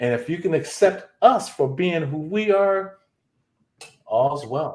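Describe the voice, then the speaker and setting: Speaking at a very slow pace, a man uses a high pitch and lively intonation. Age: 60s. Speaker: retired session musician, live stream guest. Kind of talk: casual chat.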